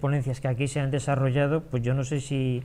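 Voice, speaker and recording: Keeping a moderate pace, a man talks in a fairly high pitch with monotone, flat intonation. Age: 60s. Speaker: small business owner. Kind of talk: talk to an audience. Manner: halting, many fillers and repetitions.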